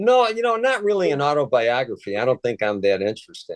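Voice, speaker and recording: A man with a Chicago accent and ordinary pitch variation, the sound dry and close with no echo. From Chicago, US Midwest. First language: Polish. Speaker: retired federal agent and author. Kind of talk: interview. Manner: halting, many fillers.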